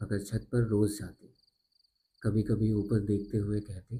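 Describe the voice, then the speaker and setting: A soft-spoken voice with a somewhat breathy quality. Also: man. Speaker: storyteller. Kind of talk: sleep story. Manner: slow, soft.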